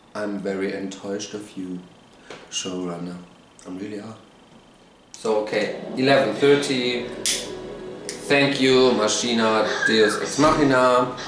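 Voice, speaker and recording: A man with a German accent and medium pitch speaks at a fairly slow pace with long, frequent pauses, ordinary pitch variation, and big swings in loudness, with noticeable background noise and audible room echo. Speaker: TV show reviewer, YouTuber. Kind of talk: rant. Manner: animated.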